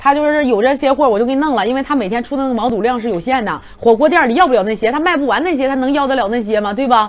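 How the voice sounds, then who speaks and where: A loud woman with a high pitch speaks very fast in an animated tone, with ordinary pitch variation and hardly any pauses. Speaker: livestream seller. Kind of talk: rapid-fire livestream hard-sell pitch, countdown to flash sale. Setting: livestream studio. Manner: excitable, hype-driven, rapid repetition of prices and urgency; animated, loud exclamations while eating. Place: studio. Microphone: lapel.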